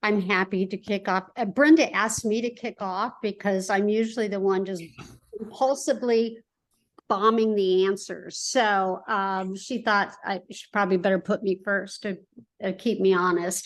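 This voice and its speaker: Her pitch sits in the medium range. The woman keeps a fairly even intonation at a moderate pace. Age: 60s. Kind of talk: personal testimony. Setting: video call. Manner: hesitant, many fillers.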